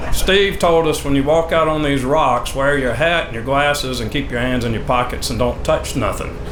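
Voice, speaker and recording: A man with a southern Georgia accent speaks at a moderate pace in a fairly high pitch, with ordinary pitch variation and hardly any pauses. Noticeable background noise and audible room echo fill the recording. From US South, Fort Valley, Georgia. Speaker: utility executive. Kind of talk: ceremony speech.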